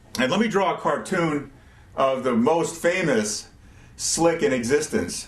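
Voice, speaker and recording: A man talks at a fairly slow pace with a fairly high pitch and lively intonation. His loudness stays very even, and room echo is audible. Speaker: rocket science tutor. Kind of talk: tutorial. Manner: casual, with fillers and repeated words.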